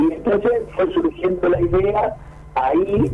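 A man in an Argentine accent at a fairly slow pace, with noticeable background noise. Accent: Rioplatense Argentine Spanish. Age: 60s. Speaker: veteran cyclist and race organizer. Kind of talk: radio interview.

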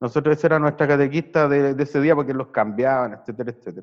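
This man talks at a very fast clip with a Chilean accent. His loudness swings widely while his pitch varies in an ordinary way. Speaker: podcast host. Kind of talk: casual chat. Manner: halting.

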